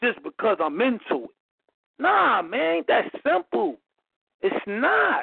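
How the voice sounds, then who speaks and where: An American-accented man speaks very slowly in a high pitch, with very wide pitch swings and long, frequent pauses. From Philadelphia. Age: 30s. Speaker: caller. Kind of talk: call-in discussion.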